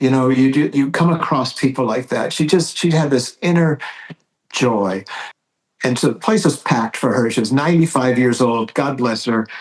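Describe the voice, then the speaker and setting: A man speaks at a moderate pace in a medium pitch, with very even loudness. He has an unremarkable speaking voice and ordinary pitch variation. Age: 60s. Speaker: priest. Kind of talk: casual chat.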